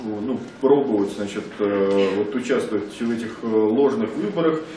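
A man at a fairly slow pace, amid audible room echo and light background noise. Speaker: activist. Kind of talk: panel debate. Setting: microphone in meeting room. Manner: halting, frequent filler words. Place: meeting room. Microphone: podium.

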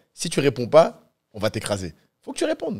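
Against a quiet background, a man talks in a Parisian accent. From France. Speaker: streamer. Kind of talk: casual chat. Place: studio. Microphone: studio mic.

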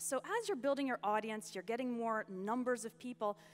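A woman with a fairly high pitch talks at a moderate pace with lively intonation. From US. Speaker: online entrepreneur and English teacher. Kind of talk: conference talk. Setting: stage with audience. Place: stage.

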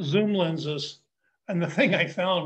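Pitched high for a man, his voice shows ordinary pitch variation. He speaks at a fairly slow pace against a quiet background. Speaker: presenter. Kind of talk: commentary. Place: home room. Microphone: video call.

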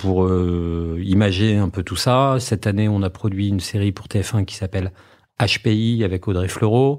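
A plain, everyday voice: a man at a fairly low pitch, moderate pace and fairly even intonation, on a very clean recording with a silent background. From Normandy, France (Trouville). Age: 40s. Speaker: media group founder and executive. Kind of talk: interview.

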